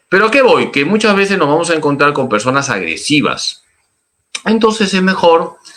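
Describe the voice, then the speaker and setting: Bright and sharp in tone, a man's voice swings very widely in pitch. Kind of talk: catechism class.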